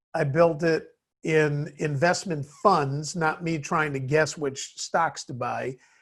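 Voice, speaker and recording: In a plain, everyday voice, a man with an American accent speaks at a fairly slow pace and a fairly high pitch against a quiet background. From US Midwest, Chicago. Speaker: business CEO. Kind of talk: interview.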